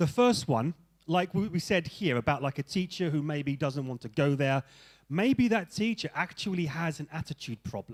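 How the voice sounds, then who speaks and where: An animated, moderately paced delivery in a London accent with lively intonation, dry and close with no echo, on a very clean recording with a silent background. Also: man, fairly high pitch for a man. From England (London). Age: 40s. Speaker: English teacher and seminar speaker. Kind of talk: seminar talk to teachers. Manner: animated, conversational.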